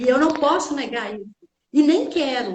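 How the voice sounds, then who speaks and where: A woman speaks in an interior Minas Gerais accent. Her voice is high-pitched, with lively intonation. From Brazil, interior of Minas Gerais. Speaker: teacher and therapist. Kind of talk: casual chat.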